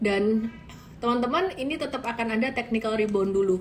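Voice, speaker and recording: Amid noticeable background noise and audible room echo, a woman with a strong Javanese accent speaks at fairly high pitch with ordinary pitch variation. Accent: thick Javanese. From Indonesia, Solo (Central Java). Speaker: stock market analyst. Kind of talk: live-stream market analysis. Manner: casual, conversational.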